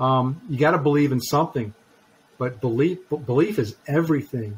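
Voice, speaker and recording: This man's voice sits fairly high and carries a somewhat breathy quality. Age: 50s. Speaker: author, speaker and trainer; COVID and cancer survivor. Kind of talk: interview, personal testimony. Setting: podcast interview.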